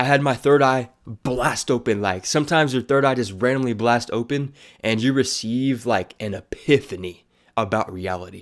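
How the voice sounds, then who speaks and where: Recorded very cleanly with a silent background, a man speaks at a moderate pace in an unremarkable speaking voice, medium in pitch with ordinary pitch variation. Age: 20s. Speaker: aspiring motivational speaker. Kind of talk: casual talk to camera.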